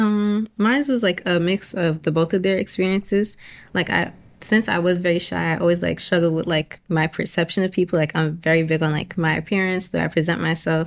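A woman with an American accent and a plain, everyday voice talks at a fairly quick pace, fairly low in pitch with ordinary pitch variation. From Boston. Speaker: college student. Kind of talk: casual chat. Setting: studio.

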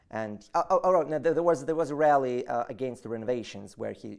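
Spoken at a fairly quick pace with a Russian accent, the voice comes through on a very clean recording against a silent background. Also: man. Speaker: political activist. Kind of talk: interview. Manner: halting.

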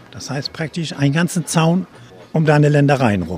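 Over music in the background, a man talks fairly quickly in a fairly high voice. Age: old. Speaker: retired ship engineer. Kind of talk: casual chat. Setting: outdoors.

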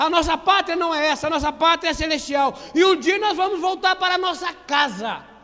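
With a raised, projected voice, a man talks at a fairly quick pace with hardly any pauses, his pitch extremely high. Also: ordinary pitch variation. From Brazil, Petrópolis (Rio de Janeiro state). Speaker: preacher. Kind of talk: sermon. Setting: church with congregation, streamed online.

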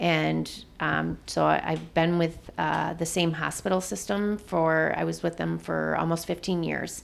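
A woman speaks in an Upper Midwest accent. Her pace is fairly slow. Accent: Upper Midwest American. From Michigan (Jackson). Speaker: nurse. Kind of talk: interview conversation.

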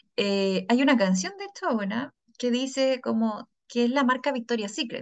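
A woman speaks at a moderate pace with a fairly high pitch. Her pitch varies in an ordinary way. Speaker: podcast host and psychologist. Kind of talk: casual chat.

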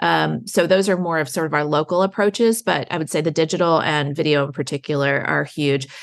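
A woman with an American accent and an ordinary speaking voice talks at a fairly quick pace with ordinary pitch variation. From Baltimore, Maryland. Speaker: tourism marketing executive. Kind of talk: interview.

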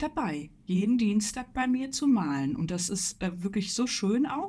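A woman's dark, mellow voice at a medium pitch, somewhat breathy, with very wide pitch swings and a fairly slow pace. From Ruhr area, Germany. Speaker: illustrator and art teacher. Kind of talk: casual chat.

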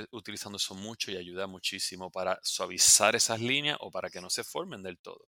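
A man with a Puerto Rican accent speaks at a moderate pace in a bright, sharp tone with fairly even intonation. The recording is very clean with a silent background and a dry, close sound with no echo. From Puerto Rico. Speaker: dermatologist. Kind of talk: casual interview.

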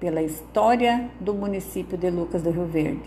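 A woman's lively intonation at a fairly slow pace, with audible room echo and noticeable background noise. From southern Brazil, Rio Grande do Sul. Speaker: local narrator presenting her town. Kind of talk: scripted narration. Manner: formal.

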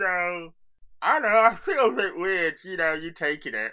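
Over a quiet background, someone uses a put-on character voice at a middle pitch and a moderate pace. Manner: hesitant, awkward, friendly.

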